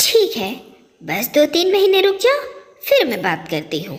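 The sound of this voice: A woman's cartoonish character voice, high in pitch, at a moderate pace.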